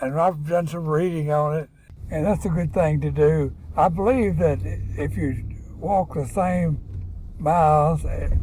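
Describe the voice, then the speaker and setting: A man with a Southern US accent at a fairly slow pace, with audible room echo. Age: 80s+. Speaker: father of the host. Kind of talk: casual chat. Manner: halting.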